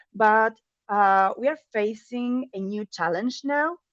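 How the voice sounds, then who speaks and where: With a non-native accent, a woman speaks at a fairly slow pace, the sound dry and close with no echo against a quiet background. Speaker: data and AI product lead, conference speaker. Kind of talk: conference talk. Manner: hesitant, many fillers.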